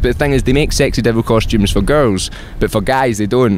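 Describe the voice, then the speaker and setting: Talking very fast at a medium pitch, a man with a Scottish accent is heard over noticeable background noise. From Scotland, Glasgow. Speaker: musician. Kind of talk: casual chat.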